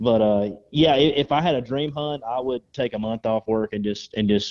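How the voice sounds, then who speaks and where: Here a man speaks with a Southern US accent. His pitch varies in an ordinary way. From North Georgia, US South. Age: 30s. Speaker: waterfowl hunter. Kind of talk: casual chat.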